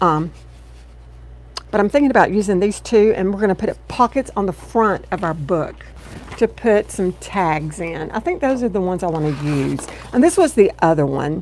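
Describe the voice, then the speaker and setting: Amid noticeable background noise, a woman speaks at medium pitch and a moderate pace with lively intonation. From US South (Texas, Louisiana). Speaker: craft video creator. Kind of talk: craft tutorial livestream. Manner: chatty, warm.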